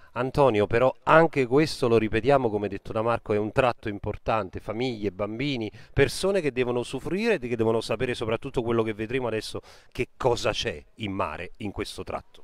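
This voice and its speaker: A man talks in an ordinary speaking voice at a fairly quick pace, with a medium pitch and ordinary pitch variation. The recording is very clean, with a silent background. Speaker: web TV reporter. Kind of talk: on-location live report. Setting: outdoors on a beach.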